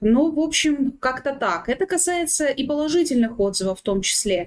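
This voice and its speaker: A woman with an ordinary speaking voice at a moderate pace. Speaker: head of legal department. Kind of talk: panel discussion. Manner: formal.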